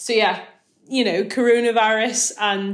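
A woman talks in a Northern Irish accent. Her intonation is monotone and flat. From Northern Ireland. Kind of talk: casual interview on faith.

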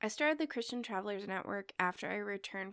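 A woman talks with a Midwestern American accent at a medium pitch. The recording is very clean, with a silent background. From US Midwest. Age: 20s. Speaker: podcast host, church educator. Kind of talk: solo podcast monologue.

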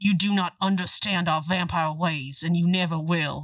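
A raspy, put-on character voice at a middle pitch and a moderate pace. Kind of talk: melodramatic romance. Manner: stiff, formal, solemn.

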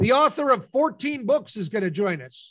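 Against a quiet background, a man speaks with an American accent. His pace is fairly slow. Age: middle-aged. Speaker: podcast co-host. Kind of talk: casual chat.

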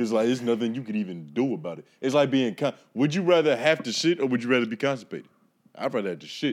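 Talking at a very fast pace, a man of medium pitch uses lively intonation. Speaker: guest podcaster. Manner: casual, slangy.

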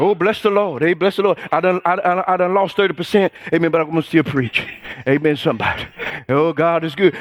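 An animated male voice with music in the background. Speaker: preacher. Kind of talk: sermon. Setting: church. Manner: animated, call-and-response, rousing; loud, fervent, exhorting the congregation.

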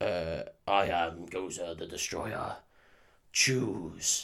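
A man puts on a booming, raspy character voice with very deep, low pitch. He speaks at a very slow pace. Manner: big, spooky, booming.

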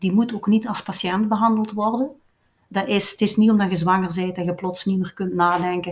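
A woman speaks in a somewhat breathy voice. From Belgian Limburg. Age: 50s. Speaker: doula and breastfeeding consultant. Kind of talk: interview storytelling. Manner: lively, fluent storytelling.

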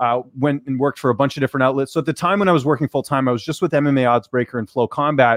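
A man at medium pitch talks very fast with hardly any pauses and ordinary pitch variation, the sound dry and close with no echo over a quiet background. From Canada. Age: 30s. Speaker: combat sports journalist and commentator. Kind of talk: casual interview.

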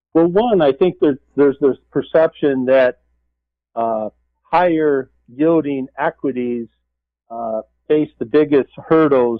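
This man has a normal speaking voice at a medium pitch. He speaks at a fairly slow pace with ordinary pitch variation. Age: 50s. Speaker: portfolio manager. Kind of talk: radio interview.

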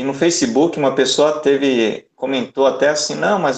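A man's fairly high-pitched, unremarkable speaking voice, with fairly even intonation at a moderate pace. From Salvador, Bahia, Brazil. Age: 40s. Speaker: origami artist and speaker. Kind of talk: casual chat. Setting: video call.

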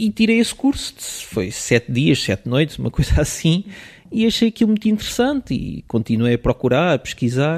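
The voice moves through very wide pitch swings at a moderate pace, recorded dry and close with no echo. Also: man, fairly high pitch for a man. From Portugal, raised partly in Switzerland until age 10. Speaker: photographer. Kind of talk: casual interview.

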